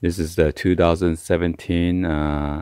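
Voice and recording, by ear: A man speaks at a low pitch with vocal fry. His tone is clear, smooth and slightly mellow.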